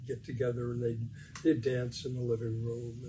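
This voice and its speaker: Through audible room echo, a man with an American accent speaks at a medium pitch. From US Midwest, Detroit, Michigan. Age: 80s+. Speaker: interviewee recounting his life. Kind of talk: oral history interview. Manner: halting, many fillers and repetitions.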